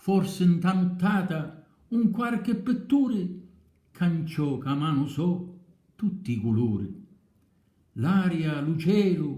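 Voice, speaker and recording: A man with a dark, mellow tone and a high pitch, speaking at a very slow pace with very wide pitch swings. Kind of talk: poetry reading.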